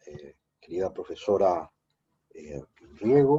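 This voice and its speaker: Very slow, fairly low male voice with a dark, mellow tone. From Paraguay. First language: Guarani (speaking Spanish). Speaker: philosophy professor. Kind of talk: academic talk.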